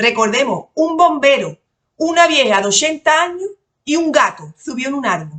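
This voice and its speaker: This woman, with an Andalusian accent, speaks at a high pitch and swings her pitch very widely. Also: moderate pace. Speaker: lawyer and exam-prep tutor. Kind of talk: lecture to exam candidates. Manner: casual, colourful.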